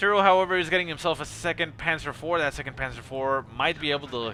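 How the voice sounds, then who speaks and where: Speaking very fast, a man talks with a non-native accent. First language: not English. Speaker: game replay caster. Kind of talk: live commentary. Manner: casual, hesitant with fillers.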